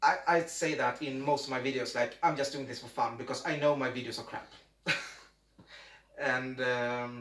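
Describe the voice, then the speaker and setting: At a moderate pace with long, frequent pauses, a man with a Swedish accent talks at a medium pitch and fairly even intonation, amid audible room echo and noticeable background noise. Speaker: amateur YouTuber. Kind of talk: casual chat. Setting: home, video recording. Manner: halting.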